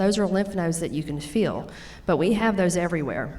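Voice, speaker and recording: This woman has a strong Louisiana accent and a fairly low pitch. Audible echo fills the room around her. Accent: thick Louisiana Southern. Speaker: nurse practitioner. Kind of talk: educational talk.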